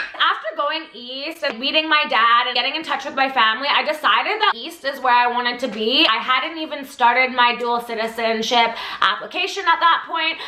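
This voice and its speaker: A woman talks loudly at a fairly quick pace with hardly any pauses, her high-pitched voice animated yet showing ordinary pitch variation. Noticeable background noise and audible room echo fill the recording. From Canada, Vancouver Island. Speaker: vlogger. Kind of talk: storytime vlog.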